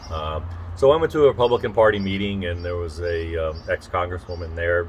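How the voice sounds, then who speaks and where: With big swings in loudness, a man with a very deep, low, somewhat breathy voice talks at a fairly quick pace with ordinary pitch variation. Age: 60s. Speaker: political candidate. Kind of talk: casual interview. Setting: outdoors on a front porch. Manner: halting, many fillers.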